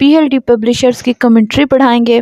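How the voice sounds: A woman speaks at a fairly high pitch with a slightly mellow tone, her intonation fairly even and the sound dry and close with no echo.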